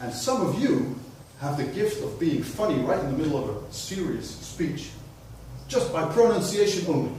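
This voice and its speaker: Amid noticeable background noise and audible room echo, a man talks at a moderate pace. His fairly high voice swings very widely in pitch. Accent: Dutch. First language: Dutch. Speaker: public speaking club member. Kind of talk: keynote speech.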